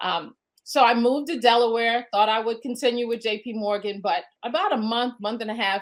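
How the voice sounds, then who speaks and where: A woman speaks at a fairly quick pace with a fairly high pitch and a Brooklyn accent. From Brooklyn, New York. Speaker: home-based business entrepreneur. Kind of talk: interview. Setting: podcast.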